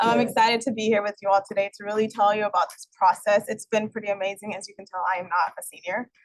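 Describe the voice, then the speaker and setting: Talking at a very fast pace with hardly any pauses, a woman at medium pitch keeps a monotone, flat intonation while her loudness swings widely. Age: young. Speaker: program staff presenter. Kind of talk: presentation at public board meeting.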